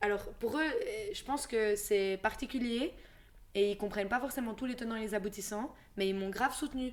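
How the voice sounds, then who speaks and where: A woman talks at a fairly quick pace in an ordinary speaking voice. Her pitch is fairly high and her intonation fairly even. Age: 20s. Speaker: podcast co-host. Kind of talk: casual chat.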